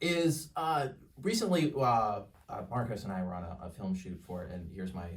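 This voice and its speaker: A man with a slight Canadian accent talks at a fairly quick pace with lively intonation and a somewhat breathy voice, and audible room echo is present. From Canada. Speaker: podcast guest. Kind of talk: casual chat.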